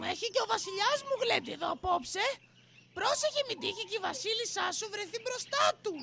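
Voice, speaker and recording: Extremely high-pitched cartoonish character voice. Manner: cheeky, playful.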